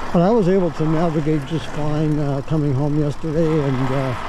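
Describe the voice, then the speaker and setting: The sound is dry with no echo, though background noise is noticeable. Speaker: e-bike rider vlogger. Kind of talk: casual vlog chat. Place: street. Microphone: camera far.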